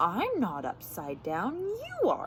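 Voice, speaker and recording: A woman puts on a character voice at a fairly high pitch, with clear background noise behind her. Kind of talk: bedtime story. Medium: read story.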